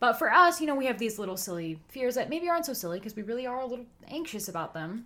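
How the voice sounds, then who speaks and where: A woman talks very fast at a fairly high pitch, her voice swinging widely up and down over noticeable background noise. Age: 20s. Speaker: podcast co-host and student. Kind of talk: casual chat.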